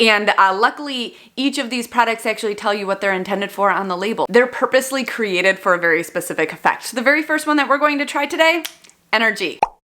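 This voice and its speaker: A woman's fairly high voice, very fast and lively in intonation. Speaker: vlogger. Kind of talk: product review vlog.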